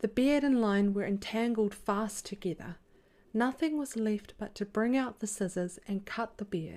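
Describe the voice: The voice is heard in plain reading aloud, with ordinary pitch variation.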